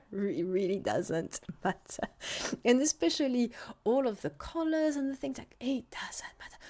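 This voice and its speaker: With a French accent, a woman speaks in a high pitch and a dark, mellow tone, her pitch swinging very widely. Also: moderate pace, big swings in loudness. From France. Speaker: food scientist consultant. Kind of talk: solo podcast monologue.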